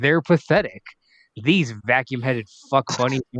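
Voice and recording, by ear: Natural-voiced reading aloud over a quiet background, pitch varying in an ordinary way.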